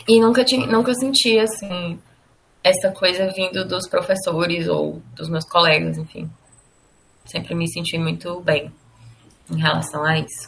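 A woman speaks in a somewhat breathy voice at a fairly low pitch, with long, frequent pauses. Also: ordinary pitch variation. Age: 20s. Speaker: advertising professional. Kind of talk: interview testimony. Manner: hesitant, with filler words.

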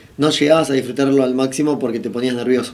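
Pitched in the middle range, an unremarkable speaking voice belongs to a man whose intonation is fairly flat. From Argentina. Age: 30s. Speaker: racing driver. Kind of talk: interview.

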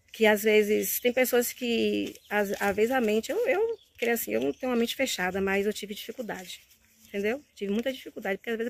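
A woman's fairly high voice at a very fast pace. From Bahia, Brazil. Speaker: course student. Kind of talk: testimonial. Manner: halting.

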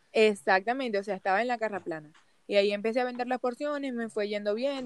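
A woman's normal speaking voice, fairly high-pitched, at a fairly quick pace with lively intonation and a dry, close sound free of echo. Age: 20s. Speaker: migrant small baker. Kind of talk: interview.

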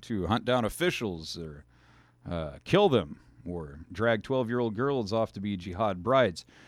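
The recording is very clean with a silent background. A man speaks at a fairly slow pace with lively intonation. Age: 40s. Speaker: talk radio host. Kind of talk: political talk radio monologue. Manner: animated.

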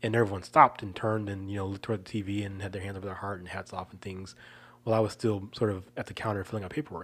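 A speaker with an American accent talks at a very fast pace, with fairly even intonation but big swings in loudness. The recording is very clean, with a silent background. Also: man. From Chicago suburbs, US Midwest. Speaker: podcast co-host. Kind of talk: casual chat. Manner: halting, many repeated words.

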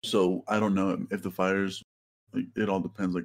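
The speaker has a plain, everyday voice and moves along at a fairly quick pace. The recording is very clean, with a silent background. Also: man. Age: 20s. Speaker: graduate student. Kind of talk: casual chat.

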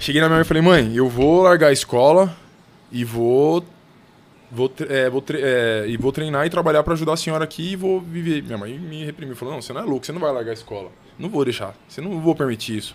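A man talks at a very fast pace with a fairly high pitch. His loudness swings widely. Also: ordinary pitch variation. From São Paulo, Brazil. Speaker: heavyweight boxer. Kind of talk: casual chat. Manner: halting.

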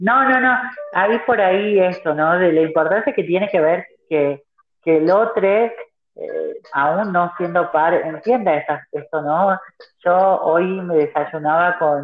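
A woman with a fairly low pitch at a very slow pace, with long, frequent pauses. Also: ordinary pitch variation. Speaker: activist. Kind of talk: interview. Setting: phone call. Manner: halting. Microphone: phone held far from mouth at first.

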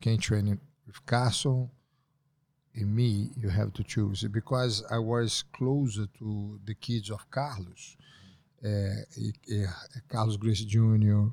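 In a Portuguese accent, a man speaks very slowly and somewhat breathily, his fairly low voice flat and monotone. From Brazil. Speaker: jiu-jitsu master. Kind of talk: casual interview.

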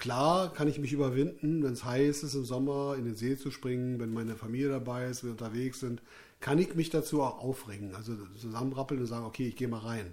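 His pitch is medium. The man talks at a very fast pace. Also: ordinary pitch variation. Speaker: musician and podcast host. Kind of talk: casual chat. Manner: loud.

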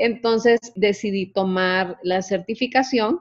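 A woman at a very slow pace, over a quiet background. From Honduras. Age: 40s. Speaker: health coach. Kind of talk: interview. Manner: casual.

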